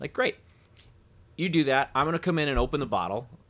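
Captured on a very clean recording with a silent background, a man in a Midwestern American accent speaks at a very fast pace. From US Midwest. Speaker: whiskey brand representative. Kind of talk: casual chat.

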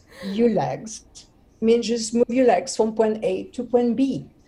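Over noticeable background noise, a woman speaks at a fairly high pitch with a French accent. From France, Brittany. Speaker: actress and TV host. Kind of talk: interview.

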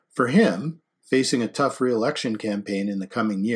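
Quiet background, ordinary pitch variation, and an unforced reading voice

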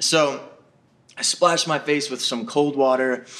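A man is speaking. Noticeable noise runs in the background. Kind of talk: storytelling. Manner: halting.

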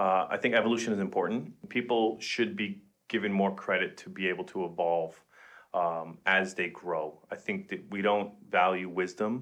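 A man with an American accent speaks at a moderate pace in a normal speaking voice, his fairly low pitch carried on a fairly even intonation. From Queens, New York. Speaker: podcast co-host. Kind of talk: casual chat.

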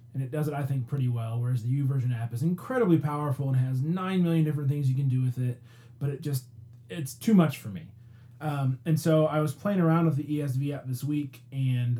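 With a dark, mellow tone and a somewhat breathy quality, a man speaks at a fairly high pitch and a fairly quick pace. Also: ordinary pitch variation. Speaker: podcast host. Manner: excited, energetic.

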